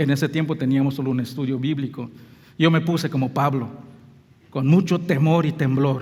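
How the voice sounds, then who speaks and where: With a Belizean accent, a man speaks at a moderate pace in a fairly high, somewhat breathy voice and fairly even intonation. Long, frequent pauses break up his speech, and the room echo is audible. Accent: non-native Spanish, Belizean. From Belize, near Mexico. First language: English (speaking Spanish). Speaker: pastor. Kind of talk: sermon. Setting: church.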